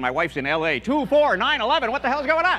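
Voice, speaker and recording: At a very fast pace, a man talks. The pitch of his voice swings very widely. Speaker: stand-up comedian. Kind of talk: stand-up comedy routine. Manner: bright, energetic.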